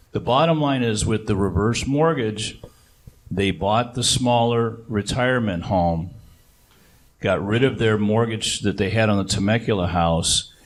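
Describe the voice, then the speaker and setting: With an unremarkable speaking voice, a man talks fairly slowly at fairly low pitch, showing ordinary pitch variation. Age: 60s. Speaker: reverse mortgage specialist. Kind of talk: seminar presentation.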